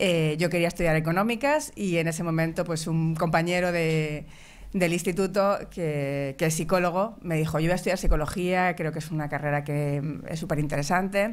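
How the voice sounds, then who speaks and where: This woman has a fairly low pitch. She speaks at a moderate pace with fairly even intonation. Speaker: psychologist in industry; speaker. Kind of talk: conference talk. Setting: stage with audience. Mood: relaxed, friendly. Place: meeting room. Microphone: podium.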